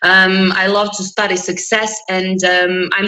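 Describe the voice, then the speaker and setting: A woman speaks over noticeable background noise. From Croatia. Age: 20s. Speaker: interview guest. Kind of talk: interview. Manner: energetic.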